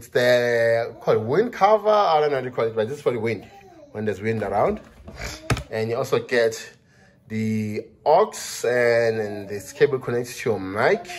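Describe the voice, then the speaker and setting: A man is speaking. His pace is moderate, with ordinary pitch variation. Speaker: product reviewer. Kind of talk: casual unboxing vlog chat. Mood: cheerful, curious. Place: home room. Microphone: phone near.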